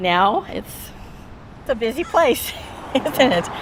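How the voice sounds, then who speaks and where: There is noticeable background noise behind a woman with an American accent. She talks at a fairly slow pace. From California, Bay Area. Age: 60s. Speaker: longtime local resident. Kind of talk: casual chat. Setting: in a car.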